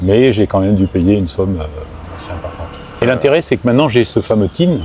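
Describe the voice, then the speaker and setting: Very fast talk from a man at a fairly low pitch, with lively intonation and noticeable background noise. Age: 60s. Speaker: retiree living abroad. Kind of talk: interview. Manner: hesitant, many fillers.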